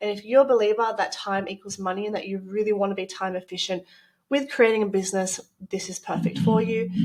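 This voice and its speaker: A woman with a strong Australian accent speaks at a very fast pace. Her medium-pitched voice swings widely in loudness. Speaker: business coach and retreat organizer. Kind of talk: promotional presentation. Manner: animated.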